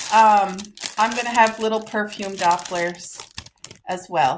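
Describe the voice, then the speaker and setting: There is noticeable background noise behind this woman, whose voice sits at a medium pitch. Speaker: lifestyle vlogger. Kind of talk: casual vlog try-on haul. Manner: loud; animated.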